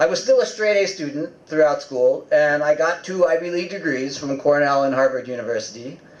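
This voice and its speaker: With an American accent, a man talks at a fairly quick pace in a fairly high pitch, with ordinary pitch variation, hardly any pauses, and noticeable background noise. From US Northeast (upstate New York). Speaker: invited speaker. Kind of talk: public talk.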